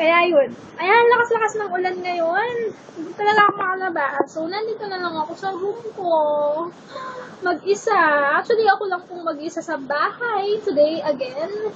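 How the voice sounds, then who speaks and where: Over noticeable background noise, a woman speaks loud and animated at an extremely high pitch, with ordinary pitch variation and a moderate pace. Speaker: beauty vlogger. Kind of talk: vlog chat. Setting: bedroom at home.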